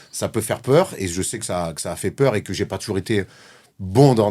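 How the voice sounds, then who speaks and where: Speaking with a Marseille accent, a man sounds animated, using ordinary pitch variation at a fairly quick pace. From southern France, Marseille. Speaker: former pro basketball player turned sports media host. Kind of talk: podcast interview. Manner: outspoken, animated.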